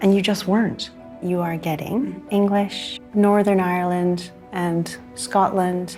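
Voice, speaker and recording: A woman's voice moves along fairly slowly while music plays behind her. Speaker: geneticist. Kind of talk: explaining DNA results to a guest.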